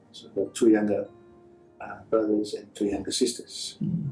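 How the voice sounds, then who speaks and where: Moderate pace with music in the background. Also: man. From Fiji. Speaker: rugby union chief executive. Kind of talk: interview answer.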